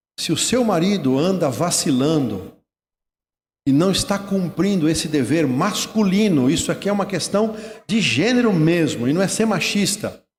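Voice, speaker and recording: A man's high-pitched voice moves at a moderate pace with lively intonation and very even loudness. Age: 60s. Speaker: retired pastor. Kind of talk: sermon.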